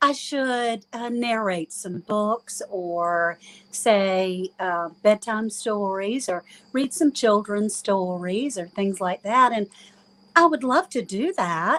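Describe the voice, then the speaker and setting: Over a dry, close sound with no echo, a woman with an Eastern North Carolina accent speaks at a very slow pace, her medium pitch carried by lively intonation. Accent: Eastern North Carolina, moderate. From US, moved around as Coast Guard child. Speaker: guest, homesteader. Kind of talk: casual chat.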